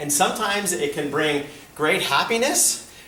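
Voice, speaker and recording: Recorded with audible room echo and noticeable background noise, a man is speaking. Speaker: school administrator. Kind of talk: presentation to parents.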